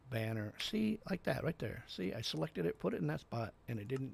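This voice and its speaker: A man speaks at a moderate pace in a medium-pitched, somewhat breathy voice with very wide swings in pitch. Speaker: game streamer. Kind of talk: casual gameplay livestream chat. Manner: halting, stumbling over words.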